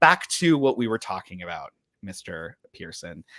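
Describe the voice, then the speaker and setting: With a Midwestern accent, a man speaks at a moderate pace in a bright, sharp tone. The recording is very clean with a silent background, dry and close with no echo. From US Midwest, Ohio. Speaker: podcast host and author. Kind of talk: casual chat. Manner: animated.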